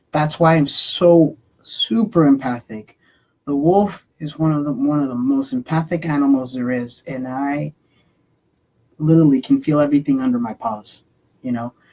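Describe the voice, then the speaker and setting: The pace of speech here is moderate. The words carry a Spanish accent. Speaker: spiritual channeler. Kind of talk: live spiritual channeling talk. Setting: live online broadcast. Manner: halting, many fillers.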